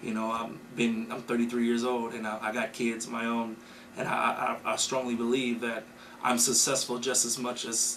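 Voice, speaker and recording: Speaking with an American accent, a man keeps a moderate pace and a medium pitch. His intonation is monotone and flat, and room echo is audible. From US Midwest, Racine, Wisconsin. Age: 30s. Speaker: keynote speaker, community member. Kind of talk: interview. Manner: halting, many fillers and repeats.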